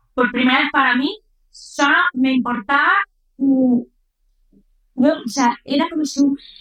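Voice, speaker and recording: Delivered at a fairly slow pace with long, frequent pauses, the speech keeps a fairly even intonation. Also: woman, high pitch for a woman. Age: 30s. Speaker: influencer. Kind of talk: testimony.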